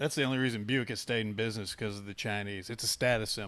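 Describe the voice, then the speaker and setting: A man with a Southern US accent. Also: very clean recording, silent background. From US South. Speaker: podcast host, police sergeant. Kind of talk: casual chat.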